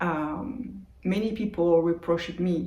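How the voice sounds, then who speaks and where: A woman speaks in a French accent at a fairly low pitch with ordinary pitch variation. Room echo is audible. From France, Brittany. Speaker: meditation youtuber. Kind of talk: casual vlog monologue. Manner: unscripted, with hesitations. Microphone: old phone mic.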